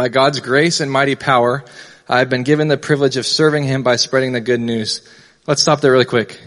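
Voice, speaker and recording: Speaking at a very fast pace, a man keeps a medium pitch. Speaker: youth pastor. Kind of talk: sermon. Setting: church. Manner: fast talker.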